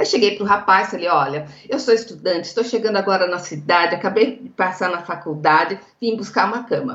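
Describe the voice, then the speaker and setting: A woman with a São Paulo countryside accent and ordinary pitch variation. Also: medium pitch for a woman, fairly quick pace. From interior of São Paulo state, Brazil. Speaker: legal executive and negotiation lecturer. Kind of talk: interview, explanatory.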